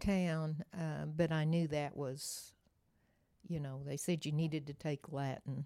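With an American accent, the speaker uses a dark, mellow tone and monotone, flat intonation at a fairly slow pace. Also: woman, very deep, low pitch for a woman. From Oklahoma. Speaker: retired nurse, church member. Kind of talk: interview storytelling.

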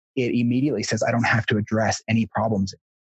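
The man's voice is somewhat breathy, with monotone, flat intonation, recorded with a dry, close sound and no echo. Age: 30s. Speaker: guest sharing personal story. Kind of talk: interview conversation.

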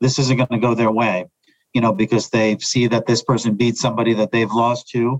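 A man with an American accent and an ordinary speaking voice talks at a fairly quick pace, his pitch medium. His intonation stays fairly even, and the sound is dry and close with no echo. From New York area. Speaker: sports psychologist. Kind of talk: interview.

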